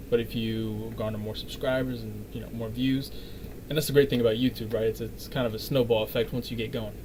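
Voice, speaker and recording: Speaking quietly, a man moves at a fairly quick pace. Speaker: vlogger reacting to a video. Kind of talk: reaction commentary. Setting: home recording, neighbors above. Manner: halting.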